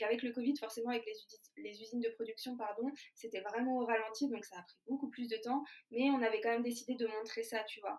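A woman's plain, everyday voice, fairly high in pitch, fairly quick in pace, with fairly even intonation. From France, Lyon. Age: 20s. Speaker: food startup founder. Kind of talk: interview.

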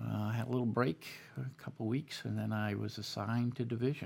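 Moderate-paced speech with a Boston accent. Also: man. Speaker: army veteran. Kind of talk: interview. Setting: studio.

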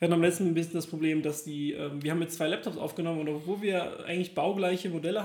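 Noticeable background noise sits behind a man talking very fast. His pitch is high and his intonation fairly even. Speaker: podcast co-host. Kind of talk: casual chat. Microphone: laptop recording.

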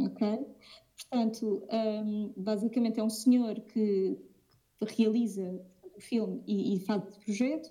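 A somewhat breathy woman with fairly high pitch speaks at a very slow pace, her fairly even intonation marked by long, frequent pauses and big swings in loudness. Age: 20s. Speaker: aspiring curator. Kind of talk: casual interview.

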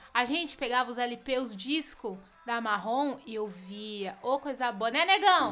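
In a raised, projected voice, a woman speaks high and animated, her intonation lively. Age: 30s. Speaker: comedian podcast host. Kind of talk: casual comedic monologue. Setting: at home.

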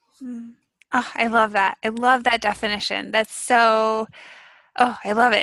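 Against a quiet background, a woman speaks with a fairly high pitch and a bright, sharp tone. Her loudness stays very even, and the sound is dry and close with no echo. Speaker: podcast co-host. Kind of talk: casual interview. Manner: excitable.

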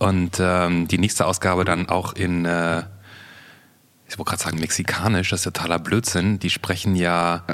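A man's very deep, low voice proceeds at a moderate pace. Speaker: podcast co-host. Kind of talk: casual chat.

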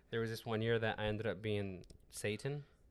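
A man speaks with a Spanish accent and a fairly low pitch. His pace is moderate. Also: very clean recording, silent background. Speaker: podcast co-host. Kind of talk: casual chat.

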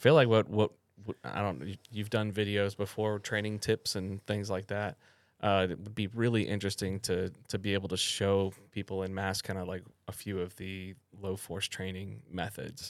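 A man with an ordinary speaking voice at a moderate pace, fairly low pitch and fairly even intonation, in a very clean recording with a silent background. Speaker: podcast co-host. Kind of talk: casual chat.

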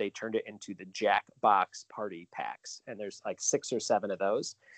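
A plain, everyday voice from a man, fairly low in pitch at a moderate pace, dry and close with no echo over a quiet background. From Chicago suburbs, Illinois. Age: 30s. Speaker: trivia host. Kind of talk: casual chat.

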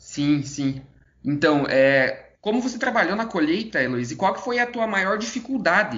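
His pitch swinging very widely, a man speaks at a moderate pace. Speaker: podcast co-host. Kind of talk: interview.

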